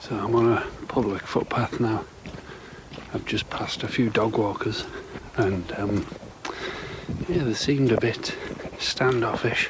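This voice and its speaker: This man talks at a fairly slow pace and medium pitch, with ordinary pitch variation and long, frequent pauses. Noticeable background noise sits behind him. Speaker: camping vlogger. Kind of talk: casual vlog. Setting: at home; outdoors. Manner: whispering.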